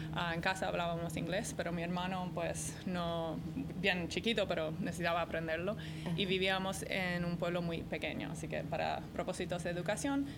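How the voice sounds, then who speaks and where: A woman in a non-native accent, fairly low and flat in intonation, at a moderate pace with hardly any pauses, in audible room echo. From American parents, raised moving around. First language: English (speaking Spanish). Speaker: arena executive and startup mentor. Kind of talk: interview.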